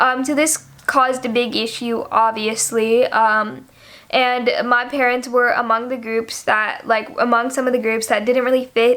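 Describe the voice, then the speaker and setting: In an American accent, a woman speaks at a high pitch with fairly even intonation. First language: Nepali. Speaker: YouTuber. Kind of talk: informal explainer video. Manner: hesitant, many fillers.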